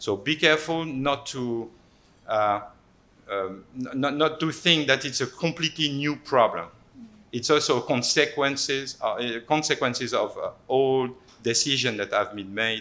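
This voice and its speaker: In a French accent, a man talks at a moderate pace and a medium pitch. His tone is bright and sharp, with ordinary pitch variation. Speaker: anthropologist. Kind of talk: panel talk presentation. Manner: halting, many repetitions.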